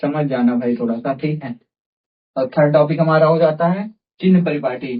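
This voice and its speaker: A man speaks with a fairly high pitch and a somewhat breathy sound. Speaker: teacher. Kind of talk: tutorial. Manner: halting; says 'theek hai' often.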